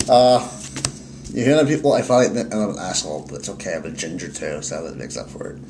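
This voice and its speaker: Amid audible room echo and noticeable background noise, a man talks very fast with very wide pitch swings and big swings in loudness. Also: medium pitch for a man. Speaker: card game YouTuber. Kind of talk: casual chat.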